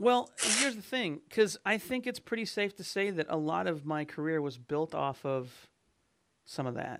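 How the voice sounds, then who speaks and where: A man at a moderate pace, fairly high in pitch with very wide pitch swings, on a very clean recording with a silent background. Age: 40s. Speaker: webcomic artist and podcast host. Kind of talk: casual chat. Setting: recording session with live chat audience.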